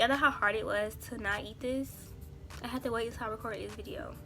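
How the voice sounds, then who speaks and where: The speech races at a very fast pace over noticeable background noise. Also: woman. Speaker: beauty YouTuber. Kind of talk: makeup tutorial. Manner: casual, chatty.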